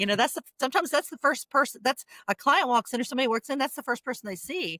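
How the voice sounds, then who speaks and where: The voice is raised and projected. The sound is dry and close, with no echo. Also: woman, high pitch for a woman. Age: 60s. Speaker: construction executive. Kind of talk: interview. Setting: podcast recording. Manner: halting, repeats words.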